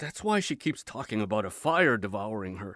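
This very clean recording has a silent background. A man's voice sounds dry and close, with no echo. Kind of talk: audiobook reading aloud of a memoir. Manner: dramatic, grave, slow-paced narration.

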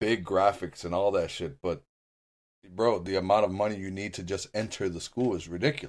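An unremarkable speaking voice from a man, fairly low-pitched and fairly quick, with ordinary pitch variation. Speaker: podcast co-host. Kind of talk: casual chat. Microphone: new Blue Yeti microphone.

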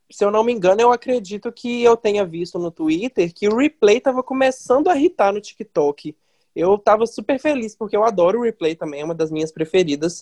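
A dark, mellow tone with lively intonation. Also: woman, medium pitch for a woman. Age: 20s. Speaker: journalism student. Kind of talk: casual chat.

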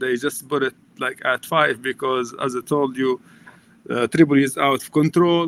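In a Libyan accent, a man talks at a fairly high pitch with fairly even intonation and big swings in loudness, the sound dry and close with no echo. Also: moderate pace. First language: Arabic. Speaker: nonprofit chief executive, former business teacher. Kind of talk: interview.

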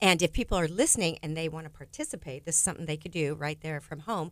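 A woman with an American accent and a fairly low pitch, on a very clean recording with a silent background. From California. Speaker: personality profile trainer. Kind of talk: radio interview. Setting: studio.

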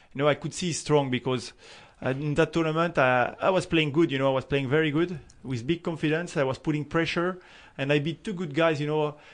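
Against a quiet background, a man with a French accent talks at a fairly high pitch and a fairly quick pace with fairly even intonation. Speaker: professional tennis player. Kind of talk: interview. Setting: studio. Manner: halting.

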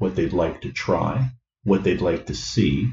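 A man talks in a dark, mellow, somewhat breathy voice at a fairly low pitch. His intonation is lively. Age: 60s. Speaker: retired engineer and comedy club organizer. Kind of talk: casual interview. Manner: halting.

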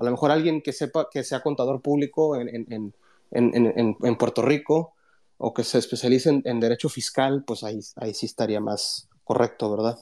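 Dark and mellow, a man's medium-pitched voice moves at a moderate pace with fairly even intonation. The recording is very clean, with a silent background. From South Texas, near the Mexican border. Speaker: finance professor. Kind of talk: casual chat. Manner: halting, many fillers.

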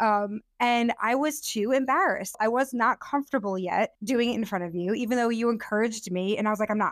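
A woman talks at a fairly quick pace with hardly any pauses, in an ordinary speaking voice. Her pitch is fairly high with ordinary pitch variation, and the sound is dry and close with no echo. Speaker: podcast host. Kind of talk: casual chat between partners.

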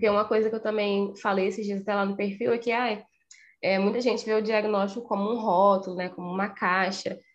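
A woman at a moderate pace, fairly high in pitch, with an unremarkable speaking voice. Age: 20s. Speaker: psychologist. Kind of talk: podcast interview.

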